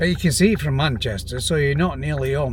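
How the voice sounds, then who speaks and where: Spoken in a Yorkshire accent, the pitch swings very widely. Noticeable background noise runs underneath. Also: man. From Yorkshire, England. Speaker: retired pensioner vlogger. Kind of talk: casual talk to camera. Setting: outdoors.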